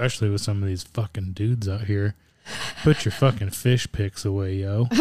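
In a dry, close recording with no echo, a man with a plain, everyday voice speaks fairly low at a moderate pace, his intonation fairly even. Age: 40s. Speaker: podcast co-host. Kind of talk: casual chat.

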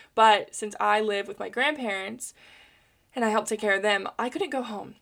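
An unremarkable speaking voice with an American accent, at a fairly quick pace with ordinary pitch variation, in a very clean recording with a silent background. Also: woman. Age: 20s. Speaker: podcast host. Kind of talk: personal monologue. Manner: chatty, frequent laughter.

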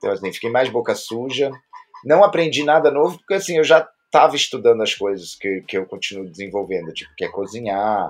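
A man's voice with music in the background. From Brazil. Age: 50s. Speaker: internet commentator and teacher. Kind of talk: casual interview.

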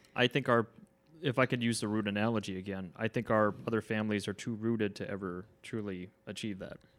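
On a very clean recording with a silent background, a man with an American accent uses an ordinary speaking voice, fairly low in pitch with fairly even intonation, at a fairly quick pace. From United States. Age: 30s. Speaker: podcast co-host. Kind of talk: casual chat.

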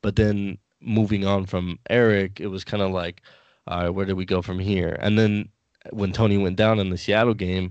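His voice sits very deep and low for a man. The intonation is fairly even throughout. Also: quiet background. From US West Coast, San Diego. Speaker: sports podcast guest, fan graphic designer. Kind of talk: casual chat. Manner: halting, many fillers.

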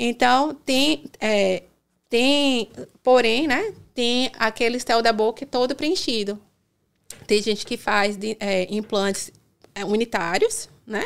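Very slow delivery from a woman, pitched rather high, with normal pitch movement and frequent long pauses. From Brazil, Salvador (Bahia). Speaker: dentist. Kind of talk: casual interview.

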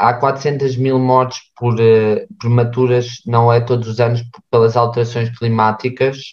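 A man speaks at a fairly slow pace with a medium pitch and a somewhat breathy voice. His intonation is monotone and flat, and his loudness stays very even. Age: 20s. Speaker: student podcast host. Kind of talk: casual chat.

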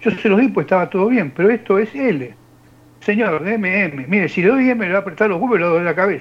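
A high-pitched man at a moderate pace. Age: 60s. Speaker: radio show panelist. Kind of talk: joke telling and reading news.

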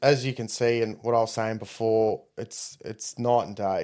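A man speaks with an Australian accent in a monotone, flat intonation. The recording is very clean, with a silent background. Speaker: competitive tabletop wargamer. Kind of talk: casual chat. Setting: live-streamed podcast studio.

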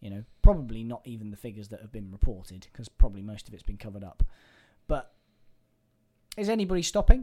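With an English accent, a man talks at a very fast pace, broken by long, frequent pauses and big swings in loudness. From England. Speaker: podcast co-host. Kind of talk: casual chat. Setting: in person, streaming live.

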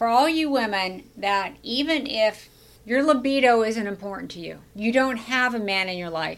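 An unremarkable speaking voice belongs to a woman talking at a fairly slow pace in a very clean recording with a silent background. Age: 60s. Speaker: podcast host and brain health coach. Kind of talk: casual interview. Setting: studio at a wellness center.

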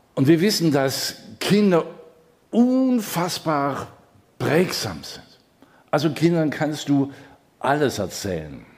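A man with a fairly high voice speaks very slowly, with long, frequent pauses and very wide pitch swings. His loudness shifts greatly, and the room echo is audible. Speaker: pastor. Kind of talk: sermon. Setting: church service, also streamed.

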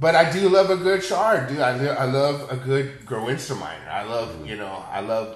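A man with an American accent speaks at a fairly high pitch and moderate pace, with very wide pitch swings, big swings in loudness and hardly any pauses. Noticeable background noise and audible room echo are present. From San Antonio, Texas. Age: 40s. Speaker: chef. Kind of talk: casual chat.

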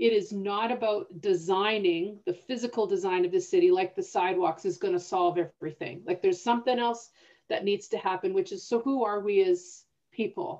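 Talking at a fairly quick pace, a woman with a Canadian accent has a dark, mellow tone. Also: medium pitch for a woman, ordinary pitch variation. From northern Alberta, Canada. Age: 50s. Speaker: podcast host and city planner. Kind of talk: casual conversation. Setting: video call.

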